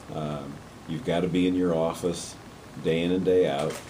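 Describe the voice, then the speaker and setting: With audible room echo, a man talks at a moderate pace in a very deep, low voice with fairly even intonation. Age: 60s. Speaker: university president. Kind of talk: interview. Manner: halting.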